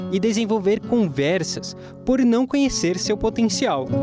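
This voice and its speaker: Music plays in the background as a man talks at a fairly slow pace, his pitch swinging very widely. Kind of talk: TV program intro voiceover, presenter-style reading.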